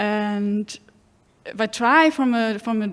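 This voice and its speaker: The speaker is a woman. She talks with a German accent. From Germany. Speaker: audience member. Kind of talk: audience question at seminar. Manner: halting, many fillers.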